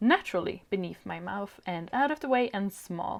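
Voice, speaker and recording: A woman with a Swedish accent speaks at a fairly slow pace. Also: very clean recording, silent background. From Sweden. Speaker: video creator. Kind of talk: product review.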